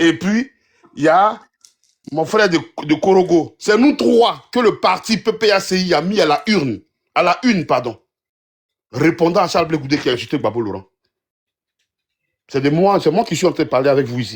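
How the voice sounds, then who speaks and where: A loud man's high voice at a moderate pace, with very wide pitch swings and long, frequent pauses. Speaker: political commentator. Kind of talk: heated debate.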